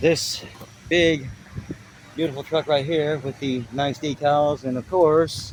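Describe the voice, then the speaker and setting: Against noticeable background noise, a man with a fairly high pitch talks at a very slow pace, taking long, frequent pauses. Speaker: tree work vlogger. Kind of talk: casual vlog talk. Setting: in a car. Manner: halting, stuttering.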